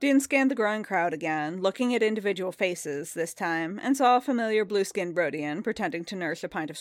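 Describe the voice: Someone does plain reading aloud, the intonation lively.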